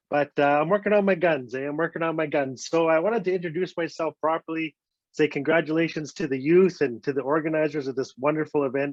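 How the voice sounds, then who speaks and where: A fairly high-pitched man with a northern Canadian accent, at a fairly quick pace. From Northwest Territories, Canada (Fort Smith). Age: 50s. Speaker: storyteller. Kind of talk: storytelling. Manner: animated.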